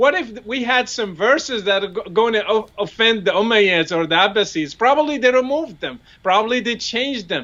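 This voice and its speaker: With an Arabic accent, a man speaks in a high voice with lively intonation. He hardly pauses at all. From Morocco. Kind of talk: interview discussion. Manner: halting.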